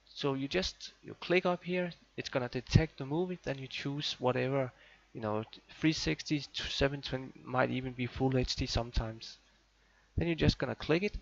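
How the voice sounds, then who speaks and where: A man with a Danish accent talks at a moderate pace in a medium pitch with ordinary variation, his loudness swinging widely in a dry, close sound with no echo. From Denmark. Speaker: tech and gaming YouTuber. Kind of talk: tutorial. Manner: casual, hesitant with fillers. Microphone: muffled old recording.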